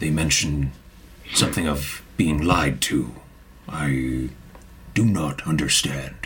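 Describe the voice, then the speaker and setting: Using a put-on character voice, a man speaks very deep and low at a fairly slow pace. He leaves long, frequent pauses, and background noise is clearly heard. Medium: actual play. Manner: stiff, formal phrasing.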